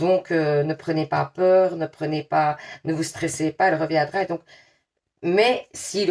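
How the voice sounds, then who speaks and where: A woman's fairly low voice in a strong Liège accent, with fairly even intonation. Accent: strong Liège Belgian French. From Belgium, Liège. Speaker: tarot card reader. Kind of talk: tarot reading to viewers; casual chat. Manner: casual, hesitant with many fillers.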